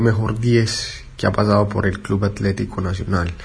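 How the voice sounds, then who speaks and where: Noticeable background noise surrounds a man's voice. He speaks at a moderate pace with fairly even intonation. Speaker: sports podcast host. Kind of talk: interview.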